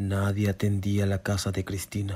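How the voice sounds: A man's slow, slightly mellow voice, fairly low in pitch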